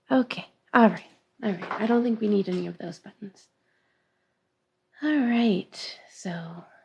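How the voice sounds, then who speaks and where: A soft-spoken woman mumbles at a fairly slow pace, her voice somewhat breathy. Long pauses come often, and her loudness swings widely. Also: medium pitch for a woman, ordinary pitch variation. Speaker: craft teacher. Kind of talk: live-streamed class, casual chat before start. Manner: soft-spoken, tends to mumble; hesitant, many fillers.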